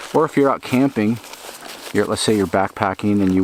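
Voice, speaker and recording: A man speaks fairly quickly, with noticeable background noise behind him. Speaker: outdoor gear reviewer. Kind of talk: product review. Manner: fast; casual, hesitant fillers.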